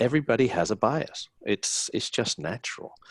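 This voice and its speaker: At a moderate pace, a man with a medium-pitched voice speaks with vocal fry, the sound dry and close with no echo. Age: 60s. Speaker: hospitality business owner and panelist. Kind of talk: webinar panel discussion.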